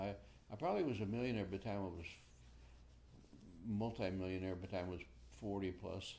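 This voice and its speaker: A man in a Midwestern US accent, fairly low in pitch, dark and mellow in tone, with ordinary pitch variation and audible room echo. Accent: US Midwest. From Ohio. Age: 80s+. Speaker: war veteran. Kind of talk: oral history interview. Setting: at home. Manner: halting.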